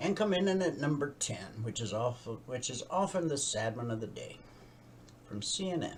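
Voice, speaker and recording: A man's fairly high voice at a fairly slow pace, with very wide pitch swings over noticeable background noise. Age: 60s. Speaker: radio host and trading educator. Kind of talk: news reading with commentary and trading tutorial. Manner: conversational asides while reading news.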